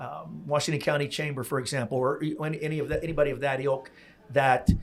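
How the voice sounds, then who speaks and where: Over noticeable background noise, a man with an American accent rattles off words at a very fast pace in a fairly high, monotone, flat voice. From US Northeast, Pennsylvania. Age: 60s. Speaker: podcast host. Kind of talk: casual interview chat. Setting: in-person recording at a venue.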